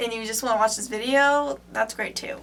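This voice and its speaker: A woman speaks loudly. Audible room echo surrounds her voice. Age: young. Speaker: vlogger, film student. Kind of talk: casual vlog. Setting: in a bathroom. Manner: casual, filler-heavy.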